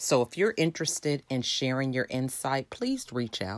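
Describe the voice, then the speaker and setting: With an American accent, a woman speaks in a very deep, low pitch at a fairly slow pace with ordinary pitch variation. The recording is very clean and dry, close with no echo and a silent background. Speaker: podcast host. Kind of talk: podcast intro and outro.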